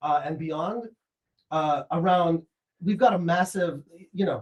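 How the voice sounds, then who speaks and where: A man talks loudly at a fairly slow pace. His voice sits high in pitch. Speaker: AI startup founder and professor. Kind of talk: casual chat.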